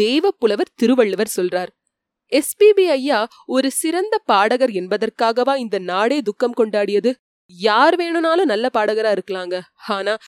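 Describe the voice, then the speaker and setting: A woman with a normal speaking voice uses lively intonation at a fairly high pitch, in a dry, close sound with no echo. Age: 30s. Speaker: audiobook narrator. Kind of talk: tribute speech. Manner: formal.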